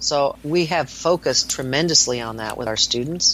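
A woman's lively intonation at a moderate pace amid noticeable background noise. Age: 60s. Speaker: nurse practitioner. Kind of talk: interview. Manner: animated.

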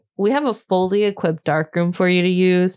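A woman with an American accent speaks at a moderate pace in a medium pitch. Her tone is animated, and the background is quiet. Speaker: podcast host. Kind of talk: casual chat. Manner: animated, laughs often.

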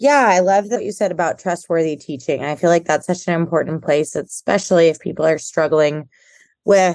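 In an American accent, a woman with a normal speaking voice talks at a moderate pace and a fairly low pitch. Her pitch variation is ordinary, and the background is quiet. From Houston, Texas. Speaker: podcast host and social worker. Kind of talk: interview.

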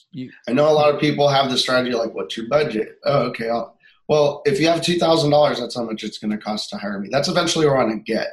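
A somewhat breathy man with a fairly high pitch, ordinary pitch variation, a very fast pace and hardly any pauses. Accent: American. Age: 30s. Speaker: musician and videographer. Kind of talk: coaching session. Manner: halting.

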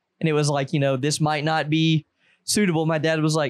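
This man speaks very fast with a Southern US accent. His pitch is fairly high, and the sound is dry and close with no echo. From US South. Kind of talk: casual chat.

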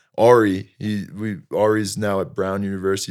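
An unremarkable speaking voice from a man, fairly low in pitch with fairly even intonation, on a very clean recording with a silent background. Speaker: young entrepreneur, apparel company founder. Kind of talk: casual interview.

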